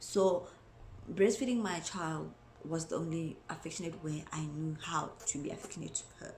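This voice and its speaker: A woman's somewhat breathy, fairly low-pitched voice at a moderate pace, with ordinary pitch variation and audible room echo. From South Africa. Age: 20s. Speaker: mom vlogger. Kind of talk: casual vlog talk to camera.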